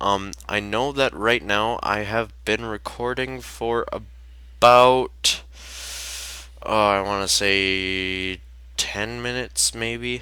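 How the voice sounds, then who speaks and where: A man speaks at a very slow pace in a shaky voice that sits fairly low for a man. His pitch swings very widely, and his tone is bright and sharp. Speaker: gaming youtuber. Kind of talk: gameplay commentary. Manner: hesitant, many fillers.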